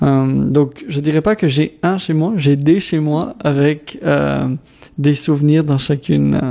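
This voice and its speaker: With long, frequent pauses, a man speaks very slowly in a fairly high pitch and a dark, mellow tone. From DR Congo, Kinshasa (Lebanese family). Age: 20s. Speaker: community organization worker, radio contributor. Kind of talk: personal testimony interview. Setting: radio studio.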